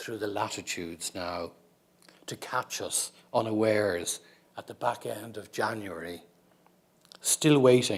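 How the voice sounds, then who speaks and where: A man with an Irish accent, fairly low in pitch, at a fairly slow pace with ordinary pitch variation. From Ireland. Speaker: poet. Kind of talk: poetry reading.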